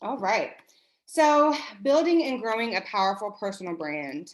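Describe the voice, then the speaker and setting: This is a woman speaking. The background is quiet. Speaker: branding consultant, workshop presenter. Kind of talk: online workshop presentation. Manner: fast.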